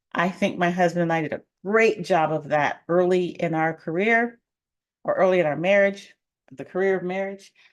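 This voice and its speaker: An unremarkable speaking voice with an American accent, fairly even intonation and a moderate pace, against a quiet background. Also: woman. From Colorado. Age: 50s. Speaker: financial coach and realtor. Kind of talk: live stream talk. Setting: live stream.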